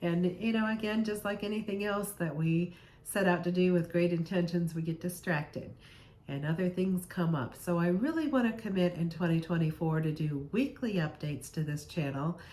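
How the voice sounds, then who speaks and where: Her pitch fairly low for a woman, she uses an ordinary speaking voice, ordinary pitch variation and a moderate pace. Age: 60s. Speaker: health vlogger. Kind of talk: casual vlog monologue.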